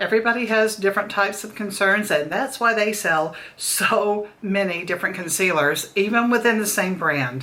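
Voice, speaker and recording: Audible room echo and noticeable background noise surround a woman's voice. She speaks at a medium pitch with ordinary pitch variation. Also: moderate pace. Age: 60s. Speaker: beauty vlogger. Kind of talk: product review tutorial. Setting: daughter's makeup room, recording video. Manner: conversational, friendly.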